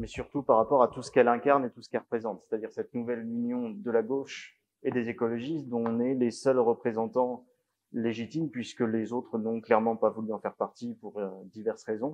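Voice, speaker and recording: This man talks at a fairly quick pace at a medium pitch, his intonation fairly even while his loudness swings widely. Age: 20s. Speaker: parliamentary candidate and tech company founder. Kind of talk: political public meeting talk. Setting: village hall public meeting. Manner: speaks too quietly at first.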